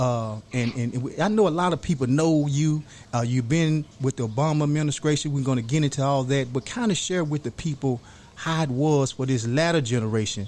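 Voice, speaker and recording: Speaking in a plain, everyday voice, a man keeps a moderate pace at fairly high pitch with ordinary pitch variation. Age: young. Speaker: podcast host. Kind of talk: podcast interview.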